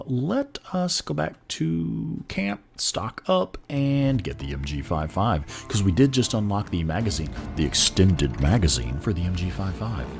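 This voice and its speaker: With music in the background, a man in an American accent speaks with hardly any pauses, his very deep, low pitch making very wide swings. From Texas.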